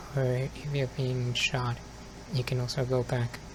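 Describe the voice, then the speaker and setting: Over noticeable background noise, a man speaks very slowly in a flat, monotone way at a medium pitch. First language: Spanish. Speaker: ASMR youtuber. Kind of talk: ASMR casual monologue. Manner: soft-spoken.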